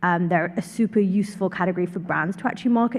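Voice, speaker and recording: A woman speaks in a London accent at a medium pitch. Her voice is somewhat breathy, with fairly even intonation. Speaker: startup consultant. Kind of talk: panel introduction.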